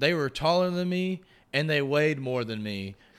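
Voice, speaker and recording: A man with a Texan accent at a moderate pace, fairly high pitch and ordinary pitch variation, in a very clean recording with a silent background. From Texas, rural area northwest of Houston. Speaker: podcast host and guest. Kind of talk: casual interview chat.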